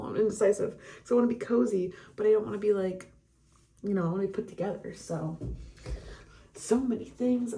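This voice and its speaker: Using a raspy, put-on character voice, a woman talks at a fairly quick pace with medium pitch and ordinary pitch variation, broken by long, frequent pauses. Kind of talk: casual vlog chatter. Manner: fast, rambling talking.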